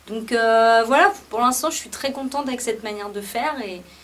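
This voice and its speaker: At a moderate pace, a woman speaks with fairly high pitch and ordinary pitch variation. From France, Paris. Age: 30s. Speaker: musician. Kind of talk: interview. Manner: hesitant, many fillers.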